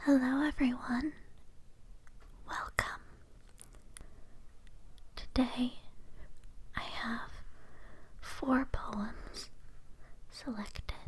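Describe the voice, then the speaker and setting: Someone is whispering at a very slow pace. Long pauses come often. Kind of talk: poetry reading; ASMR sleep reading. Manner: whispered, soft-spoken.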